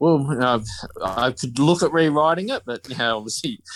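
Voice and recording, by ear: Speaking with an Australian accent, a man moves at a moderate pace with lively intonation.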